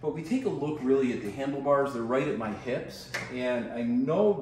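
A man at a moderate pace, with audible room echo. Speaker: product reviewer. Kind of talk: product demonstration. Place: home room.

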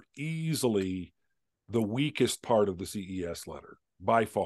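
A man talks with an American accent. His pitch swings very widely. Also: quiet background. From Southern California. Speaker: author; interview guest. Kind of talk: interview. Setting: video call. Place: home room.

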